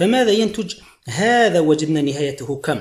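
With vocal fry and very wide pitch swings, a man speaks at a fairly high pitch and a moderate pace. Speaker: math teacher. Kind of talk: video lesson tutorial. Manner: repetitive, emphatic teaching.

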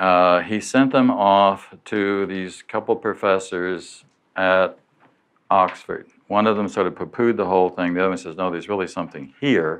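With an unremarkable speaking voice, a man talks at a moderate pace in a fairly low pitch, his intonation fairly even over a quiet background. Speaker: lecturer. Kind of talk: lecture. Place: hall.

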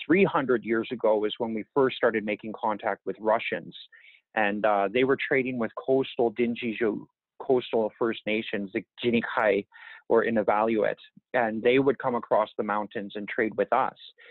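An unremarkable speaking voice at a moderate pace, fairly even in intonation, dry with no echo, over a quiet background. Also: man, medium pitch for a man. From Yukon, northern Canada. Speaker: First Nation chief; interviewee. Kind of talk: interview. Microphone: earbuds.

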